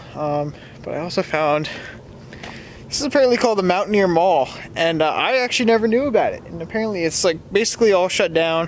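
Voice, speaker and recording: Speaking very fast with lively intonation, a man with a high-pitched voice comes across dry, with no echo, over light background noise. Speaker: car vlogger. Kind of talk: casual vlog. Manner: halting. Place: street. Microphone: phone near.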